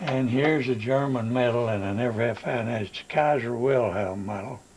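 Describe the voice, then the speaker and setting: At a moderate pace, a man with a medium pitch speaks with ordinary pitch variation over noticeable background noise. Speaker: war veteran. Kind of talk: casual reminiscing to family.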